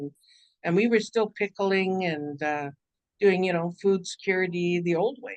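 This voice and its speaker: With a Canadian accent, a woman speaks at a moderate pace with fairly even intonation and a fairly low pitch, in a dry, close sound with no echo. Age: 60s. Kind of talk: workshop talk. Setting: video call. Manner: halting, many fillers.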